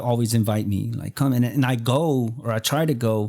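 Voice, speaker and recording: A man's plain, everyday voice in a medium pitch, with an American accent and fairly even intonation. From Texas. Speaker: podcast host. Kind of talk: casual interview.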